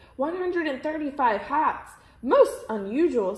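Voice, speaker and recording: A woman puts on a character voice, pitched high and swinging very widely in pitch, at a moderate pace. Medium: read story. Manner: formal, precise.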